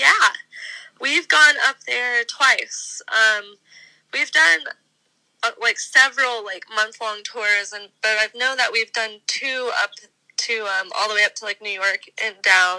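Very slow speech from a woman with an American accent, fairly high in pitch with ordinary pitch variation, in a dry, close sound with no echo. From Texas, US. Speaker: musician, band leader. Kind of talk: interview. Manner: hesitant with fillers.

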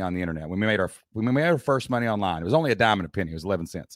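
In a very clean recording with a silent background, a man with an Appalachian accent speaks at a fairly low pitch with lively intonation. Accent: Appalachian Southern US. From Southeast Kentucky. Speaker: entrepreneur and former teacher. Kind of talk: casual interview chat.

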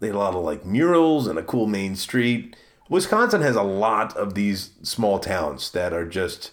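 This man has an unremarkable speaking voice with an American accent, fairly low in pitch and delivered at a fairly slow pace. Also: very clean recording, silent background. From Maryland, US East Coast. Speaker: podcast host. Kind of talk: casual solo monologue.

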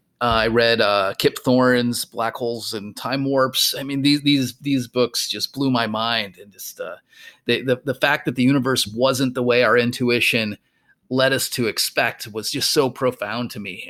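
Using an ordinary speaking voice, a man talks at medium pitch with fairly even intonation. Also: very clean recording, silent background. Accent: American. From US Midwest, rural Minnesota. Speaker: physics professor and podcast co-host. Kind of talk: casual chat.

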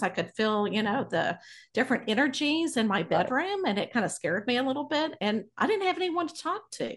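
In an American accent, the voice moves at a fairly quick pace with very wide pitch swings against a quiet background. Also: woman. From Texas (Abilene). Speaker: psychic medium. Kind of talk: casual interview.

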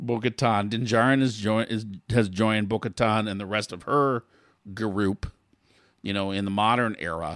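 A man talks in a normal speaking voice at a moderate pace. His pitch is fairly low and his intonation fairly even. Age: 50s. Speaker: podcast co-host. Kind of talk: casual chat.

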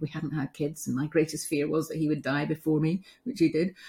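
Somewhat breathy and dark, mellow in tone, a woman speaks at a very deep, low pitch. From UK. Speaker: end-of-life care specialist and coach. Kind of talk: casual interview.

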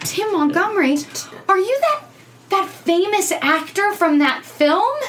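A woman's put-on character voice at an extremely high pitch, with a fairly bright tone, lively intonation and a fairly slow pace.

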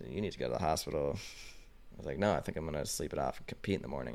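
Speaking at a very fast pace with an American accent, a man shows vocal fry and ordinary pitch variation. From Colorado. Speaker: professional snowboarder. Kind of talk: casual chat.

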